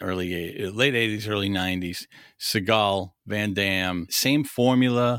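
On a very clean recording with a silent background, a man with a fairly low pitch speaks at a fairly slow pace in an animated tone with ordinary pitch variation. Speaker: podcast co-host. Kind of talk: casual chat, movie review podcast. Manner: animated, laughs often.

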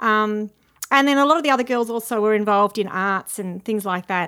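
A woman with an Australian accent and a fairly high pitch, at a moderate pace with ordinary pitch variation, on a very clean recording with a silent background. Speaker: TV news journalist. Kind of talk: casual interview. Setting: at her old school.

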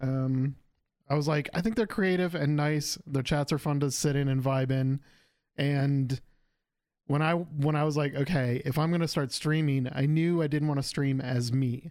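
Intonation is fairly even throughout. The delivery moves at a moderate pace. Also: man. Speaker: podcast host. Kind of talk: casual chat. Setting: video call.

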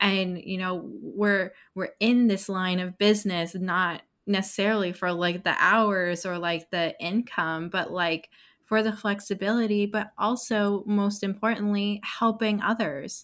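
A woman's normal speaking voice at a medium pitch and fairly slow pace, on a very clean recording with a silent background. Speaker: podcast host, branding expert. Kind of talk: interview conversation.

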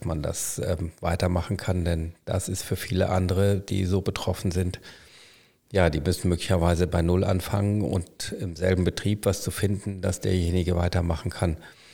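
A man with a very deep, low pitch talks at a moderate pace in a dark, mellow, somewhat breathy tone with monotone, flat intonation. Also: very clean recording, silent background. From Germany, Münster (Westphalia). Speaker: hospital physician, former anaesthetist. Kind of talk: casual interview. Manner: hesitant, many fillers.

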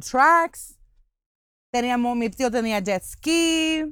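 Very slowly, a woman speaks at a high pitch with ordinary pitch variation, in a very clean recording with a silent background. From Puerto Rico. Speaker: podcast host. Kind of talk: casual chat. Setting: outdoors at a campsite.

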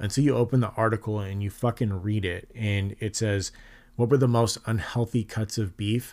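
In a very clean recording with a silent background, a man speaks in an ordinary speaking voice at a medium pitch and a moderate pace. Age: 30s. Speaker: podcast host, father. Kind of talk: solo podcast monologue.

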